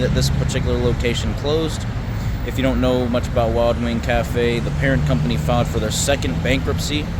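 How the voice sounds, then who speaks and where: Talking at a very fast pace, a man uses ordinary pitch variation. Noticeable background noise and audible room echo surround him. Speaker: urban explorer vlogger. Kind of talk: casual vlog narration. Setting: outdoors. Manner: quiet, can't talk loud.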